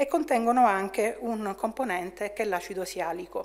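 At a fairly quick pace, a woman talks. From Italy. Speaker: chemistry professor. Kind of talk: lecture. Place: hall.

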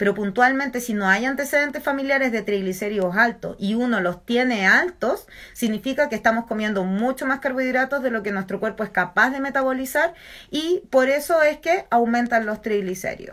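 A woman with a high pitch talks at a fairly quick pace with lively intonation over a quiet background. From Chile, San Felipe (Aconcagua valley); Chile. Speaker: nutritionist and university lecturer; university lecturer. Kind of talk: educational talk on a social media live stream. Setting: Instagram live video stream. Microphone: phone near.

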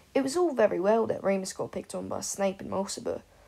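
This is reading aloud. It is done in a natural voice.

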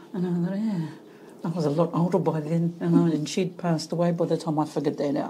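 This woman talks very fast in a fairly low, somewhat breathy voice with a dark, mellow tone. Her intonation stays fairly even. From New Zealand, Hawke's Bay (Heretaunga). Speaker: clinical psychologist. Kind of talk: casual interview.

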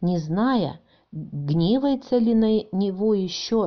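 A woman's voice sits at a medium pitch. It swings very widely up and down. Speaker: grandmother reading to grandchildren. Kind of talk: bedtime Bible story reading for children.

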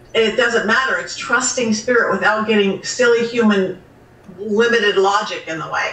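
Audible room echo surrounds a woman with an American accent who speaks at a fairly high pitch and a moderate pace, with ordinary pitch variation. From Southern California. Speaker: psychic medium. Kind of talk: interview answer.

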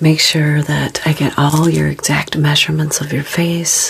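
Soft-spoken and fairly slow, a woman talks with a very deep, low pitch over light background noise. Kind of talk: soft role-play talk to the viewer. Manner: soft, hushed ASMR speaking voice. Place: studio.

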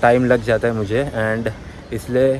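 The delivery is very slow and monotone, with flat intonation. The sound is dry with no echo, and there is light background noise. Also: man. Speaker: vlogger. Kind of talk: casual vlog chat. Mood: reflective, candid. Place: street. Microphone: phone near.

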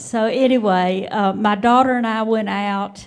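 Very slow, monotone, flat delivery from a woman with a Southern US accent. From Mississippi. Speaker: retired teacher, audience member. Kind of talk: audience remarks. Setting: auditorium with live audience. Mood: warm, amused. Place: hall. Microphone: handheld.

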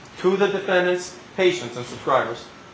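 A man speaks at a very fast pace, with audible room echo and light background noise around him. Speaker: trial attorney. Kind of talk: courtroom closing argument to a jury, rhetorical questions and repetition. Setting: courtroom. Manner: punchy, emphatic, repeating words for effect; indignant, building to a forceful demand. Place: hall. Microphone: camera far.

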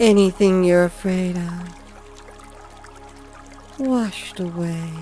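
A woman's medium-pitched voice at a very slow pace, fairly even in intonation, with music in the background. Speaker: hypnotist. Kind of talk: hypnosis induction. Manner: slow, soft-spoken.

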